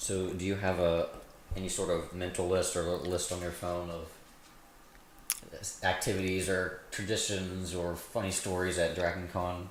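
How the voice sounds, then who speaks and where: Flat, monotone delivery at a moderate pace with long, frequent pauses, audible room echo and noticeable background noise. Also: man, very deep, low pitch for a man. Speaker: podcast co-host. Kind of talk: casual chat.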